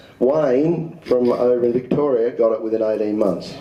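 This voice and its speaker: Audible room echo and noticeable background noise surround a man with an Australian accent whose pitch varies in an ordinary way. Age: 60s. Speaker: presenter at amateur radio symposium. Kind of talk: talk with audience questions. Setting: community centre room with audience.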